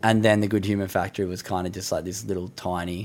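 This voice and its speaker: Talking at a very fast pace, a man with an Australian accent has a fairly low pitch. His intonation stays monotone and flat. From Australia, Sydney. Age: 20s. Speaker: professional surfer and mental health advocate. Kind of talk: casual chat.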